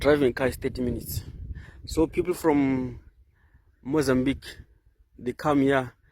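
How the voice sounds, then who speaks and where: With a Zimbabwean accent, a man speaks at a medium pitch and a moderate pace. His intonation stays fairly even, broken by long, frequent pauses. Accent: Zimbabwean (Ndebele) English. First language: Ndebele. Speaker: nature vlogger. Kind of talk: walking vlog tour. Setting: outdoors. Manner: halting.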